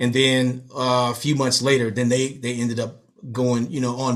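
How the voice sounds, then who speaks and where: An American accent comes through in this man's plain, everyday voice. He talks at a medium pitch and a moderate pace. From US West Coast, Los Angeles. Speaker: hip hop DJ and professor. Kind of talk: casual interview chat.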